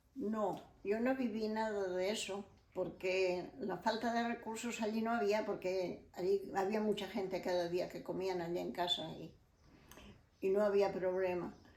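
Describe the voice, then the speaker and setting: In a room with audible echo and noticeable background noise, a woman speaks at a medium pitch with fairly even intonation. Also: fairly slow pace. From Spain, León province. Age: 80s+. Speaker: elderly interviewee sharing life memories. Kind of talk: oral history interview.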